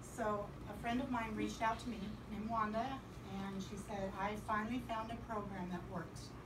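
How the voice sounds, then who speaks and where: Noticeable background noise can be heard as a woman talks. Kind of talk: personal testimonial to a small group. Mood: earnest, upbeat at end. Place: home room. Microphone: camera far.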